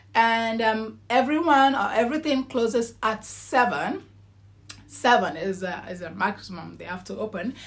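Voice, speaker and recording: With an animated tone and lively intonation, a woman speaks at a moderate pace in a fairly high pitch, showing vocal fry and big swings in loudness. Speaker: vlogger. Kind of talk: casual vlog talk. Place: home room. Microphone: phone near.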